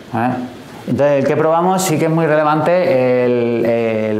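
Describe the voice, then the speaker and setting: Ordinary pitch variation at a fairly slow pace, amid noticeable background noise and audible room echo. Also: man. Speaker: software engineer giving tech talk. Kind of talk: technical talk to live and remote audience. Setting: talk room with remote listeners.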